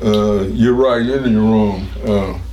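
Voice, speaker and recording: There is noticeable background noise and audible room echo around a voice with an American accent. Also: man. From Cincinnati, Ohio, US Midwest. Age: 90s. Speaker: war veteran. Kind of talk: oral history interview. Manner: halting.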